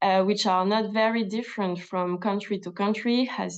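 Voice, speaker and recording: Here a woman talks at a moderate pace with a medium pitch. Her intonation stays fairly even. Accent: French. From France. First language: French. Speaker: government health official. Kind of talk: webinar presentation. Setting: video call. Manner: halting with many fillers.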